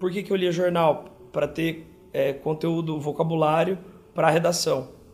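With music in the background, a man of fairly high pitch speaks at a moderate pace and fairly even intonation. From São José do Rio Preto, interior of São Paulo, Brazil. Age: 30s. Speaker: dermatologist. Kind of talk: interview.

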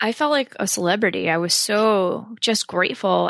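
A woman with an American accent speaks in a dry, close sound with no echo over a quiet background. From northwest New Jersey. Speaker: actress and meditation coach. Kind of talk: casual interview chat.

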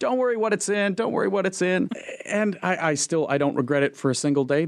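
A man with an American accent talks at a fairly quick pace with lively intonation, in an ordinary speaking voice. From Minnesota; Fargo-Moorhead, Minnesota. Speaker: animator and illustrator. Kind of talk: casual interview conversation.

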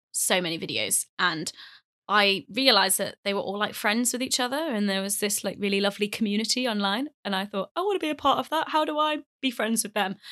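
A woman's medium-pitched voice with a British accent, lively intonation and a bright, sharp tone, dry and close with no echo, on a very clean recording over a silent background. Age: 20s. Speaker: YouTuber and author. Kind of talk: casual interview.

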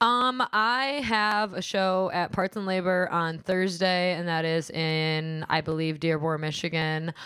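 Speaking fairly slowly yet with hardly any pauses, a woman with a strong Midwestern US accent has a fairly low, bright, sharp voice and ordinary pitch variation. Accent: heavy Midwestern US. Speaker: stand-up comedian and podcaster. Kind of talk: casual chat. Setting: studio. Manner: casual, profane.

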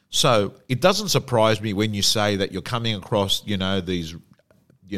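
A man with an Australian accent speaks at a fairly slow pace. His pitch is fairly low, with ordinary pitch variation. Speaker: personal development coach and real estate auctioneer. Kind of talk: interview.

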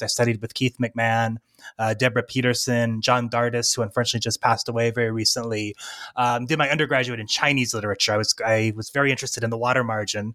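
At a very fast pace, a man with a General American accent speaks at medium pitch with a bright, sharp tone. The sound is dry and close, with no echo. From US Southwest, near Arizona. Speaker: assistant professor of literature. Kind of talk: academic interview. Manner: hesitant with fillers.

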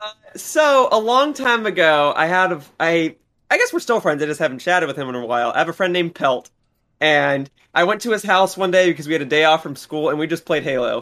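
Lively intonation and a bright, sharp tone come at a fairly quick pace. The recording is very clean, with a silent background. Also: man, high pitch for a man. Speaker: gaming commentator, returning guest. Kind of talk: casual chat. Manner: stuttering at times.

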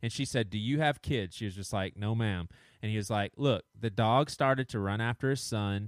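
A man with a Southern US accent, fairly quick pace and ordinary pitch variation. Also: fairly low pitch for a man. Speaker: podcast co-host. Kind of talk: casual chat.

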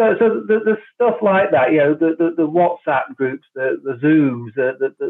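With an unremarkable speaking voice, a man talks at a moderate pace and uses lively intonation. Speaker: cricket club founder. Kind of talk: casual interview. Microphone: connection dropping out.

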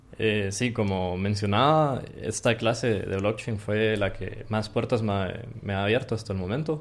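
Speaking at a fairly slow pace with hardly any pauses, a man uses ordinary pitch variation. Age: 20s. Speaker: computer science student. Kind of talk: interview.

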